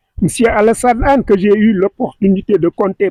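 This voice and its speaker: A man speaks loudly at a moderate pace in a dark, mellow tone. The sound is dry and close, with no echo. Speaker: government official. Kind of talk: ceremonial speech. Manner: formal.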